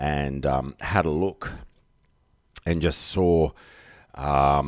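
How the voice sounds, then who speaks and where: Speaking at a very slow pace with an Australian accent, a man has a very deep, low pitch and fairly even intonation. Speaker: live streamer. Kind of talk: casual live stream chat. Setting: home live stream. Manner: rambling, hesitant with fillers.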